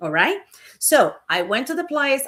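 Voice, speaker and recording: A moderate pace in a Puerto Rican accent. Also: woman. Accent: Puerto Rican Spanish accent, noticeable. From Puerto Rico. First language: Spanish. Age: 50s. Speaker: business coach and real estate broker. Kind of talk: livestream motivational talk. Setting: livestream on camera. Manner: animated.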